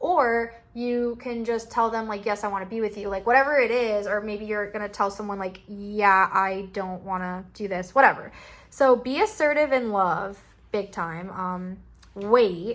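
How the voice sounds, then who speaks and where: A plain, everyday voice from a woman, medium in pitch, with ordinary pitch variation at a moderate pace. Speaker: tarot card reader. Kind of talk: pick-a-card tarot reading. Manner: casual, filler-heavy.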